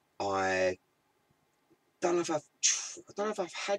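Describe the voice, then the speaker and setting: With a British accent, a man speaks at a moderate pace in a dry, close sound with no echo. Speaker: cannabis channel live streamer. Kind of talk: casual live stream chat. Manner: hesitant, repeating words.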